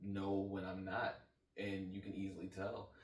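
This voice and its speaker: A man with a fairly low pitch, in audible room echo. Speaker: podcast co-host. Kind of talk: casual chat. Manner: halting.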